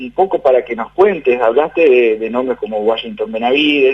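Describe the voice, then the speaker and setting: A man talks with lively intonation while noticeable background noise carries on around him. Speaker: radio interviewer. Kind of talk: radio interview question.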